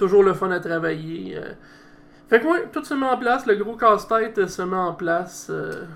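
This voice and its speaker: High-pitched male speech at a moderate pace, noticeable background noise around it. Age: 30s. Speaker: wrestling federation president. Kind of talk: casual interview.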